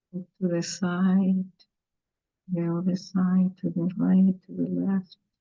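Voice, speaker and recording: A woman with a Cuban accent speaks at a very slow pace in a fairly low pitch. Her tone is dark and mellow, somewhat breathy. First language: Spanish. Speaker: garden educator for children. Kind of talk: guided exercise. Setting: video call.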